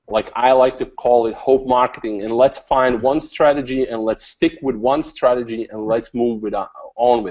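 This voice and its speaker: A man talks with hardly any pauses. His intonation stays fairly even. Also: medium pitch for a man, moderate pace, big swings in loudness. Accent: non-native. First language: not English. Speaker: online marketing coach. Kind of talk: interview. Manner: hesitant, many fillers and repeats.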